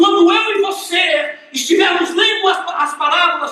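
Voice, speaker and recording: A man speaks at a fairly slow pace in a raised, projected voice. Room echo is audible, and background noise is noticeable. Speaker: pastor. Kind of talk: sermon.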